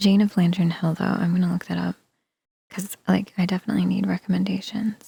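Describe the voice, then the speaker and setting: The speaker is soft-spoken and moves at a fairly quick pace. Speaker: sleepytime reading streamer. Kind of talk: soft-spoken ASMR streamer chatting with viewers.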